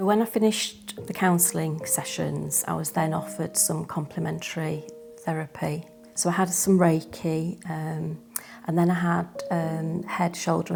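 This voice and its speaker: The delivery is fairly slow. Music can be heard behind it. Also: woman. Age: 60s. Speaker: cancer survivor. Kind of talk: testimony. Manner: hesitant, with many fillers.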